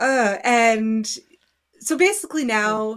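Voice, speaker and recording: A woman speaks with a Canadian accent and lively intonation in a very clean recording with a silent background. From Canada. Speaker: podcast co-host. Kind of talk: casual chat.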